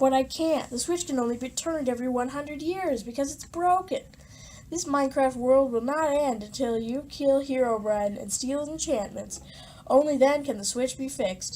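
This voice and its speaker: A woman's whiny, put-on character voice, high-pitched, with a whiny tone and a moderate pace. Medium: read story. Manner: whiny, conceited.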